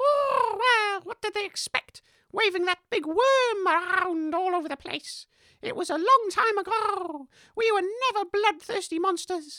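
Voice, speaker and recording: An extremely high put-on character voice talks at a moderate pace. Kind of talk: comic character acting. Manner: indignant, defensive, huffy.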